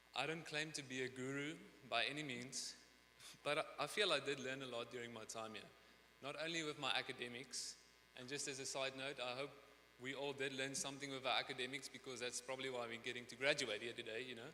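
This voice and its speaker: In a bright, sharp tone with a slight non-native accent, a man speaks very fast in a monotone, flat intonation. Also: medium pitch for a man. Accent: slight foreign. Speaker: graduating student speaker. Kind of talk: commencement speech.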